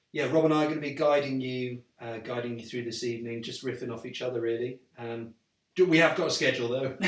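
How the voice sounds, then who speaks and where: Talking at a very fast pace with a slight Welsh accent, a man keeps a medium pitch and fairly even intonation while his loudness swings widely. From Wales. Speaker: actor and writer, live stream co-host. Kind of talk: casual live stream chat.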